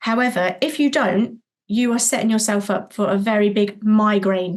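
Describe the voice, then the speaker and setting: A somewhat breathy woman with a fairly high pitch speaks at a moderate pace, with ordinary pitch variation and very even loudness. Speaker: childcare business owner. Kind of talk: podcast interview. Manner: animated.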